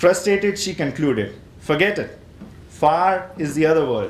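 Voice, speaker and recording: A man with an Indian accent speaks at a moderate pace with ordinary pitch variation in a room with audible echo. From northern India, Himachal Pradesh. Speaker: poet. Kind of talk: poetry reading.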